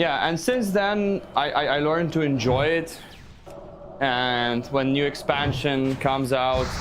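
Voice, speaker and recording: A man with a Russian accent, fairly high in pitch, at a fairly slow pace with very even loudness and ordinary pitch variation, amid noticeable background noise and audible room echo. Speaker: gaming streamer. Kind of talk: live stream chat. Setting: live stream while playing a game. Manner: halting, repeats words.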